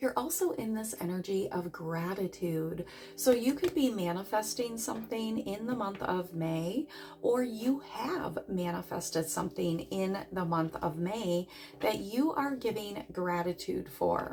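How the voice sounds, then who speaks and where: Noticeable background noise sits behind a woman's medium-pitched voice. She speaks at a fairly slow pace with lively intonation. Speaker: tarot reader. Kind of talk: tarot reading.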